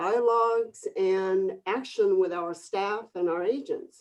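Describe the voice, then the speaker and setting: Lively intonation marks a woman speaking at a fairly slow pace. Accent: Korean. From Korea, moved to Northern California at 14. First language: Korean. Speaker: real estate broker and coach. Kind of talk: webinar panel discussion.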